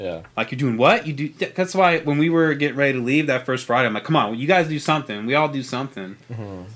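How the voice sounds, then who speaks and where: With an American accent, the speaker talks at a very fast pace with lively intonation. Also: man, fairly high pitch for a man. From St. Charles, Missouri, US Midwest; Missouri. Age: 30s. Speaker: artist and photographer; podcast guest. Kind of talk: casual chat. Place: studio. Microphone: studio mic.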